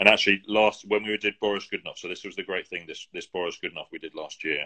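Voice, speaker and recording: With a British accent, a man talks at a very fast pace, his loudness swinging widely. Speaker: opera singer. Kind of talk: casual interview chat. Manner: halting, many restarts.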